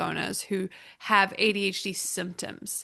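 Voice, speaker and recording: Speaking in a New Zealand accent, a woman uses a medium pitch and a bright, sharp tone. Her pace is moderate against a quiet background. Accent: Kiwi. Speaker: business consultant. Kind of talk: podcast interview.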